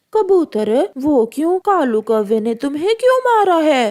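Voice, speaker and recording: A cartoonish character voice that sounds female is pitched high, swinging very widely in pitch at a fairly slow pace. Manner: forceful.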